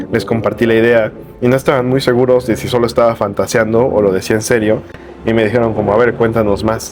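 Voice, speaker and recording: Speaking at a very fast pace with very even loudness, a man with a medium pitch keeps a monotone, flat intonation over noticeable background noise. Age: 20s. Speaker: bookseller. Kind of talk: vlog monologue. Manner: casual, hesitant.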